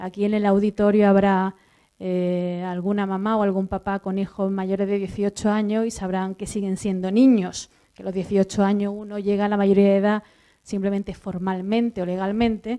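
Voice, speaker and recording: A woman with an Andalusian accent and a medium pitch speaks at a moderate pace in a dark, mellow, flat monotone. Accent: Andalusian Spanish, drops s sounds. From southern Andalusia, Spain. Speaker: university professor. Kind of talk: conference talk. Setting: auditorium with audience. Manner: many fillers and restarts.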